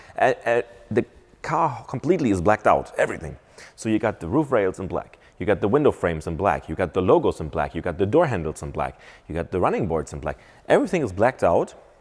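A man speaks at a very fast pace. His pitch is fairly low. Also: quiet background. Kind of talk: walkaround commentary. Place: shop.

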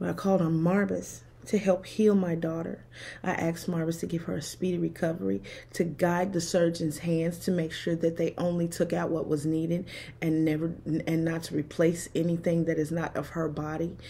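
A woman speaks at a fairly quick pace with a fairly low pitch. Her tone is dark and mellow and somewhat breathy. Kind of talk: personal testimony vlog. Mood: emotional, recounting hardship. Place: home room. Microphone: phone near.

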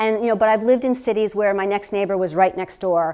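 Fairly even intonation from a woman. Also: quiet background. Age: 50s. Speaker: healthcare practitioner and therapist; presenter. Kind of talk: workshop talk to a live audience. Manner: conversational, with fillers. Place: meeting room.

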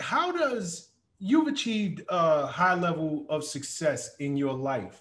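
Speaking at a very slow pace, a man with a high pitch makes very wide pitch swings. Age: 50s. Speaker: podcast host. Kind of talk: interview conversation; scripted intro. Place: home room. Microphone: studio mic.

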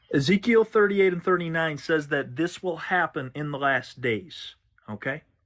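Here a man talks with lively intonation and a fairly high pitch. His pace is fairly slow against a quiet background. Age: 20s. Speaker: online ministry host and Bible teacher. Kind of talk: livestream religious discussion. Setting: live stream. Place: home room. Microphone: phone near.

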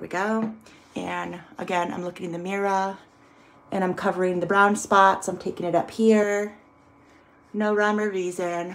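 The pace is moderate, broken by long, frequent pauses. Intonation stays monotone and flat. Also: woman. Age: 50s. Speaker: beauty vlogger. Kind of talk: casual talk to camera. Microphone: phone near.

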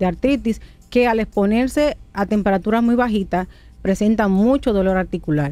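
Music plays in the background while a woman speaks with ordinary pitch variation. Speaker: rheumatologist. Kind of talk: radio interview, medical advice.

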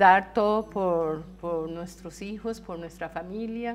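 A woman talks at a very slow pace with ordinary pitch variation while music plays in the background. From Costa Rica, San José. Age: 60s. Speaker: cancer patient, former nurse. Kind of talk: testimony. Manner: halting.

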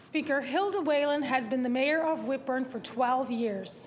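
A woman speaks at a high pitch with ordinary pitch variation, and there is light background noise. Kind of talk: formal statement read aloud. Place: hall.

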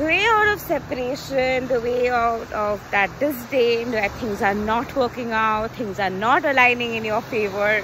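A woman speaks at a high pitch with lively intonation. Noticeable background noise is present, and the sound is dry with no echo. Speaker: coach. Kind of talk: casual vlog chat. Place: beach. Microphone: phone near.

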